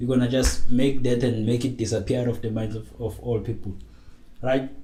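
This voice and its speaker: A man speaks at a medium pitch in a dark, mellow tone that is somewhat breathy. Audible room echo surrounds his voice. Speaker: tech podcaster. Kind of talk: casual monologue. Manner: hesitant, many fillers.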